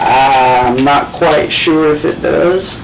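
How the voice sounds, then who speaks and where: Ordinary pitch variation in a man's speech, noticeable background noise around it. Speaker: college student. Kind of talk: interviewer questions. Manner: casual.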